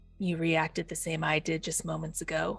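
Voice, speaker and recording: A raspy, put-on character voice speaks at a middle pitch and a moderate pace. Music plays in the background. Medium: actual play. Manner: probing, measured.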